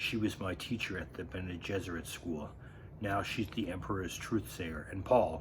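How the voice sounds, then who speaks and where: A man's put-on character voice, strained and very deep and low, at a moderate pace over noticeable background noise. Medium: read story. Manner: controlled, restrained.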